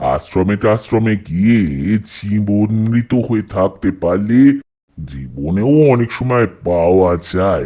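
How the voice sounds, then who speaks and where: A put-on character voice from a man, fairly low in pitch and very slow. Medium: audio drama. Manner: vain, rambling, matter-of-fact.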